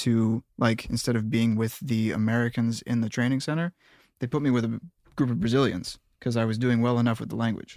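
On a very clean recording with a silent background, a man with an unremarkable speaking voice talks at a medium pitch with fairly even intonation. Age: 30s. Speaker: music producer. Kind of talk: casual chat.

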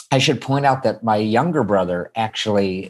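An unremarkable speaking voice from a man, fairly low in pitch, at a moderate pace, on a very clean recording with a silent background. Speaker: musical theater composer. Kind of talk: casual interview.

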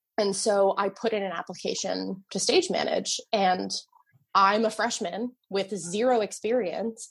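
The voice is somewhat breathy, with an American accent. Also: woman. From New Jersey. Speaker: theater production manager and stage manager. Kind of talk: casual interview chat.

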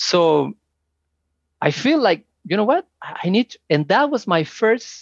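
A man with a Spanish accent and lively intonation, in a dry, close sound with no echo over a quiet background. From Mexico, Mexico City area. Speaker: immigrant guest, engineer. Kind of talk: interview, casual chat. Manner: halting, many fillers and repetitions.

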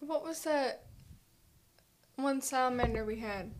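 A woman's pitch varies in an ordinary way while noticeable background noise carries on. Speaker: podcast guest panelist. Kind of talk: casual chat.

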